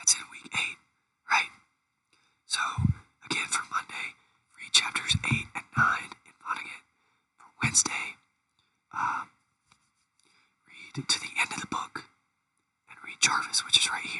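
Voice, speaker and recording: Fairly slow whispering broken by long, frequent pauses. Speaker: college teacher. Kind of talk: lecture. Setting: recorded video.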